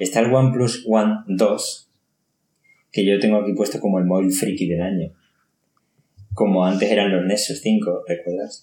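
With fairly even intonation and a dark, mellow tone, a man at fairly low pitch speaks at a moderate pace, leaving long, frequent pauses. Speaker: tech podcast host. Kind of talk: casual chat.

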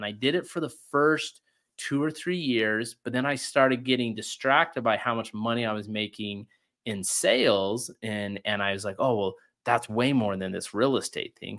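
A plain, everyday voice with an American accent, at a moderate pace with ordinary pitch variation, on a very clean recording with a silent background. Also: man. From Utah, rural ranch. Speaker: real estate investor and podcast host. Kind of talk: interview conversation.

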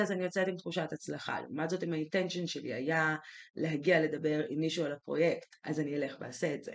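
A woman speaks at a moderate pace. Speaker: podcast co-host. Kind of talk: casual chat. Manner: dominant, leading.

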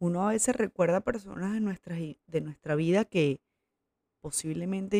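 Speaking with a Venezuelan accent, a woman has a medium pitch, a dark, mellow tone and ordinary pitch variation, in a dry, close sound with no echo. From Venezuela, Coro (Falcón). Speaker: podcast host. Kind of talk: casual monologue. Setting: at her mother's house.

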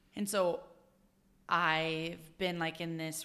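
With a Utah accent, a woman speaks very slowly in a fairly low pitch, her tone bright and sharp and her intonation monotone and flat. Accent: Utah American. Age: 20s. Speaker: professional dancer. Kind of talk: interview conversation. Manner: loud, outgoing.

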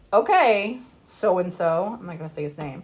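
With lively intonation and medium pitch, a woman talks at a moderate pace in a normal speaking voice. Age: 30s. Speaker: podcast co-host. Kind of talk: casual chat.

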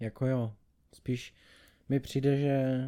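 A man's voice, dark and mellow in tone, moves along at a fairly slow pace. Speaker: podcast co-host. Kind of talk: casual chat. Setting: home studio.

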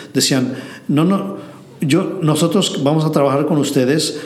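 A man talks at a moderate pace in a fairly high voice. Audible room echo and noticeable background noise are in the recording. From Mexico City. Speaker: entrepreneur, translation company founder. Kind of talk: interview. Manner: halting.

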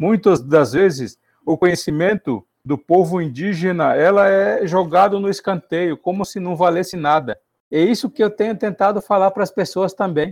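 This man has a high-pitched voice and talks at a moderate pace with ordinary pitch variation. The sound is dry and close with no echo, and the recording is very clean against a silent background. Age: 40s. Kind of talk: interview. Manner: halting.

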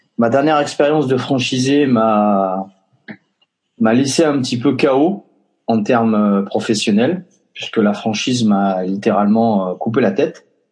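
At a fairly slow pace, a man speaks at a medium pitch with ordinary pitch variation and very even loudness. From Basque Country. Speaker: entrepreneur. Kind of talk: interview. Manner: hesitant, many fillers.

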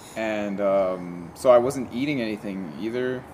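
At a medium pitch, a man talks amid noticeable background noise and audible room echo. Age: 30s. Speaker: podcast host. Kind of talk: casual chat. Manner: stutters more lately.

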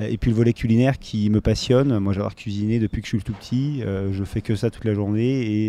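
This man talks at a moderate pace in a fairly low pitch, his tone dark and mellow and his intonation fairly even. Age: 30s. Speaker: food company founder. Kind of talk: round-table discussion.

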